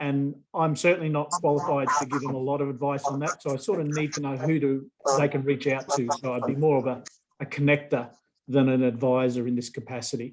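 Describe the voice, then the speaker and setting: Talking at a fairly quick pace, a man with an Australian accent keeps his fairly high voice in fairly even intonation. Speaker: professor. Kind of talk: video call introduction.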